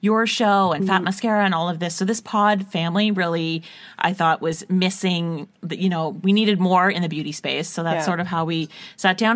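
The speaker is a woman with medium pitch. She talks at a fairly quick pace. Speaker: beauty podcast co-host. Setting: internet call. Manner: very fast talker.

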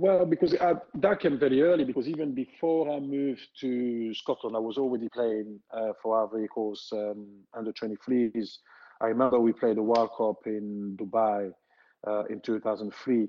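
A man speaks in a French accent at a medium pitch. He keeps a moderate pace with ordinary pitch variation. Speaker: former footballer. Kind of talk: casual interview. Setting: remote call during lockdown. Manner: halting.

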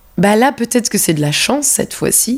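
A woman is speaking. Her tone is calm. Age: 30s. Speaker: dancer. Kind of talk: casual chat. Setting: host's apartment.

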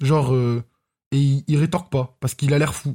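A man speaks at a moderate pace in a fairly high, somewhat breathy voice with a dark, mellow tone. The recording is very clean and silent behind him, with a dry, close sound and no echo. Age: 20s. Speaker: podcast guest co-host. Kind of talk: casual chat.

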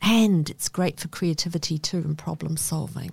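Somewhat breathy and fairly low in pitch, a woman with a New Zealand accent speaks with fairly even intonation on a very clean recording with a silent background. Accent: New Zealand twang. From northern England, then New Zealand. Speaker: author and social researcher. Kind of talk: interview conversation.

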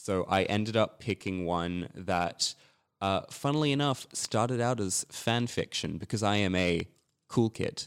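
A man with an Australian accent speaks at a fairly slow pace and a fairly low pitch. The sound is dry and close with no echo, and the loudness stays very even. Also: ordinary pitch variation. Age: 20s. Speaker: writer. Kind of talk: casual chat.

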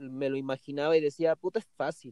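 At a moderate pace, a man speaks in a normal speaking voice with fairly high pitch. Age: 20s. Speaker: professional skateboarder. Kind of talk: interview.

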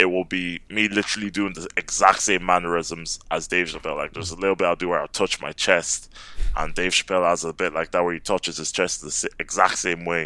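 Very fast and with hardly any pauses, a man delivers his words in a monotone, flat intonation, his very deep, low pitch paired with a bright, sharp tone. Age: 20s. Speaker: stand-up comedian. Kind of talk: casual chat.

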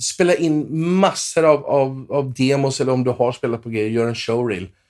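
On a very clean recording with a silent background, a man speaks at a moderate pace in an unremarkable speaking voice with lively intonation. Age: 40s. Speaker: session guitarist. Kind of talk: casual interview.

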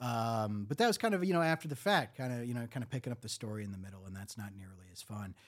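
An animated man with a Michigan accent, his pitch swinging very widely. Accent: Michigan, general American. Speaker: podcast host. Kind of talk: casual comedic storytelling. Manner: sarcastic, joking, animated.

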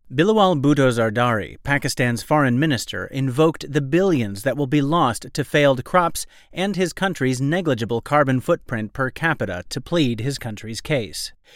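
Over a silent background in a very clean recording, a man with a fairly high pitch talks in a plain, everyday voice at a moderate pace, with lively intonation and hardly any pauses. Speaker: news presenter. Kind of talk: formal newsreading: crisp, scripted bulletin of world-affairs analysis. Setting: studio. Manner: measured, even-paced and authoritative; serious, polished delivery with little emotion.

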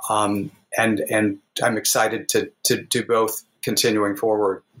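Speaking fairly slowly with an American accent, a man uses a plain, everyday voice at medium pitch. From US Midwest, southwest Missouri Ozarks. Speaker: author. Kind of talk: interview.

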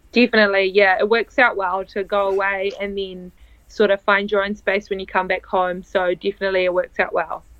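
Speaking at a fairly quick pace, a woman keeps her medium-pitched voice in a monotone, flat intonation. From northern Italy (born in New Zealand, moved to Italy at 10). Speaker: beach volleyball player. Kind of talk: interview.

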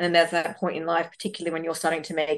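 Speaking with an Australian accent, a woman uses a fairly low pitch and monotone, flat intonation. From Australia, western Sydney. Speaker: debut novelist. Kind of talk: interview conversation. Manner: halting, many fillers and repetitions.

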